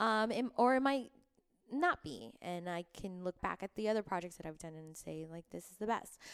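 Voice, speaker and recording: With an American accent, a woman talks at a moderate pace and medium pitch in an animated tone, her lively intonation paired with big swings in loudness and a dry, close sound with no echo. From Florida (Miami), Cuban family. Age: 30s. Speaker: actress. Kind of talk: casual chat. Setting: home studio, in person.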